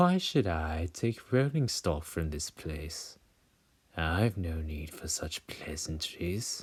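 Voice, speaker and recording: Using a put-on character voice, a man speaks at a very slow pace. His pitch is very deep and low. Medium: read story. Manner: smarmy, mysterious.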